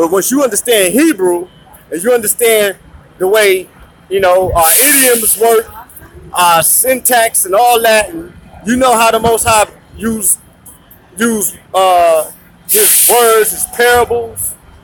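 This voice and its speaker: A high-pitched man speaks in an animated tone at a fairly slow pace, with ordinary pitch variation and long, frequent pauses. Background noise is noticeable. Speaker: religious teacher. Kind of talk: sermon. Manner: loud.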